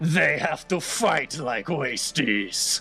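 A man's put-on character voice, fairly high in pitch and very slow, with faint music in the background. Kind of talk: broken, simple speech. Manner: boisterous, showman-like.

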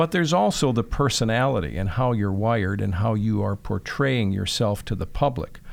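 With an ordinary speaking voice and an American accent, a man talks at a moderate pace with lively intonation and hardly any pauses. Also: fairly low pitch for a man. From Chicago, Northwest Side. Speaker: TV meteorologist and broadcaster. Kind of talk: interview.

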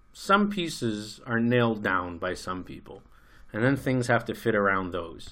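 Speaking fairly slowly with an American accent, a man has a bright, sharp tone at a medium pitch. His pitch varies in an ordinary way, and the recording is very clean with a silent background. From United States. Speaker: podcast co-host. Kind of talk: casual discussion. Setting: studio.

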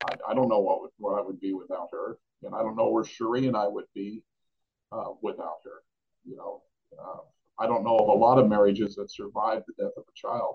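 A man speaks at a fairly quick pace, with long, frequent pauses and big swings in loudness. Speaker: retired police officer and bereaved father. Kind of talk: interview, personal storytelling. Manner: halting, conversational.

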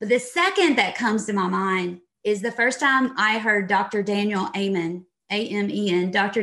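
A woman at a medium pitch keeps a moderate pace, her pitch varying in an ordinary way. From Texas. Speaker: leadership consultant and author. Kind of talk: interview.

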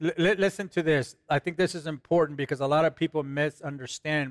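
Moderate pace with a non-native accent. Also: man, dry, close sound with no echo. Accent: foreign. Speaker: co-host. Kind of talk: religious talk show. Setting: studio with audience.

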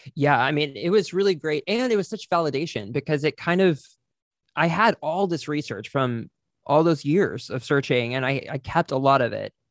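Here is a man with a normal speaking voice and an American accent, pitched fairly high, talking at a moderate pace with lively intonation. The sound is dry and close, with no echo. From Texas, small town near Fort Worth. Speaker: podcaster and theater person. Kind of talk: casual chat. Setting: video call.

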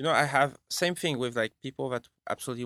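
A man with a French accent speaks very fast at medium pitch with ordinary variation, his tone bright and sharp. The sound is dry and close with no echo, on a very clean recording with a silent background. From France, Bordeaux. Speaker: film composer. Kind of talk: casual interview. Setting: studio.

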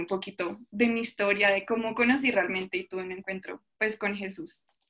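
At a fairly quick pace, a woman talks in an ordinary speaking voice, medium in pitch with fairly even intonation. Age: young. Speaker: church youth leader and student. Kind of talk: faith testimony in casual podcast chat.

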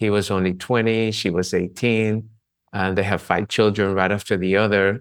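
The delivery is a flat monotone at a moderate pace. The background is quiet. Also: man. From Colombia. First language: Spanish. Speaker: chiropractor and author. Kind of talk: casual interview conversation.

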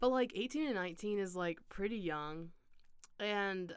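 A woman talks at a fairly slow pace in a normal speaking voice at medium pitch. Her intonation is lively. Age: young (college age). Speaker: podcast host, college student. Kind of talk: casual interview chat.

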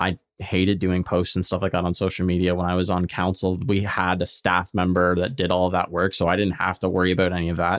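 A man talks very fast at a very deep, low pitch, in a monotone, flat intonation. His loudness stays very even, and the recording is very clean with a silent background. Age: 20s. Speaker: podcast host. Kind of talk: casual interview.

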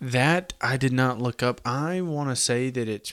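A man is speaking. He talks with a Southern US accent. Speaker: podcast host. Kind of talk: casual history podcast narration.

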